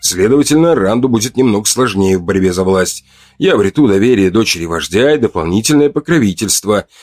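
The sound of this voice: Lively intonation marks an unforced reading voice.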